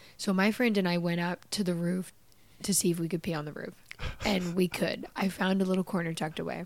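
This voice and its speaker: A woman with a fairly low pitch speaks in an animated tone. The recording is very clean, with a silent background. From Canada. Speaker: podcast host. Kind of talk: casual comedic interview chat. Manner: animated, joking.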